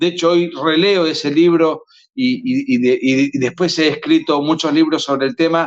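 Using lively intonation, a man with an Argentine accent speaks at a fairly slow pace. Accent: Argentine Spanish (voseo). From Argentina. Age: 40s. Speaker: author and lawyer. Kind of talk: interview.

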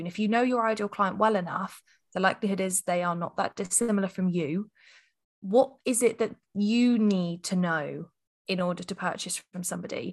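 A woman speaks with an English accent at a moderate pace. Her pitch is medium, with ordinary pitch variation. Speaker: copywriting agency founder. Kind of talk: podcast interview.

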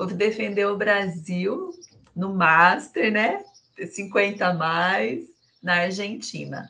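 Very slow in pace, a woman speaks with medium pitch, ordinary pitch variation, vocal fry and a bright, sharp tone. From Brazil, Sorocaba (São Paulo state). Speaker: businesswoman and finance director. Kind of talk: casual chat.

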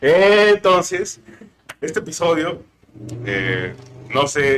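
This is a man speaking with a Mexican accent. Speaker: podcast co-host, anthropologist. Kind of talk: casual chat. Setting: studio.

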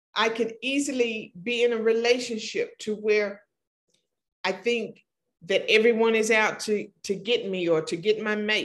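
A woman with an American accent speaks in a normal speaking voice, fairly high in pitch, with fairly even intonation at a fairly slow pace. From Oklahoma. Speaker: podcast host, mentor and speaker. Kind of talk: solo podcast monologue. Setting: studio set.

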